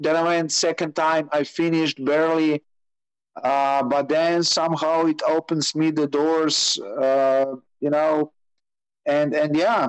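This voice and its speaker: A man with a Slovenian accent, fairly high pitch, monotone and flat, very even loudness, at a fairly slow pace. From Slovenia, Maribor. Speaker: rally motorbike racer. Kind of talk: interview. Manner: halting.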